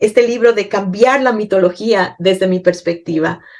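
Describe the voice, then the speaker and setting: A woman at a medium pitch, with ordinary pitch variation and a moderate pace. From Ecuador. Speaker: poet. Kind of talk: interview. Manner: halting.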